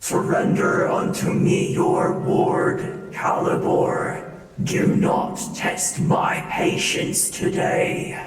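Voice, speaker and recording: In a put-on character voice, a man speaks very slowly yet with hardly any pauses, his high, raspy voice carrying a strong echo. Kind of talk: archaic, imperious. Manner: commanding, threatening.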